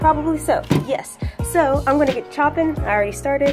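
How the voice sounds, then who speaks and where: Music can be heard in the background. Over it, a woman talks at a moderate pace. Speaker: photographer. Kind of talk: casual cooking vlog talk to camera. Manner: casual, chatty.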